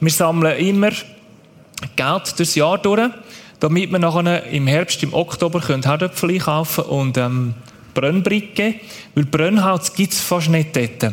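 Speaking very slowly with long, frequent pauses, a man uses a high pitch and ordinary pitch variation. His loudness stays very even over noticeable background noise. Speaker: aid organization worker. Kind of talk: church stage interview.

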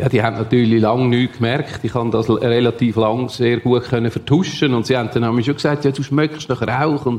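A man speaks with a Swiss accent at a medium pitch and a fairly quick pace. His loudness stays very even, his intonation fairly even, and he hardly pauses. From Switzerland, canton Solothurn. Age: 60s. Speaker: former prisoner and drug addict. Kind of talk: testimony.

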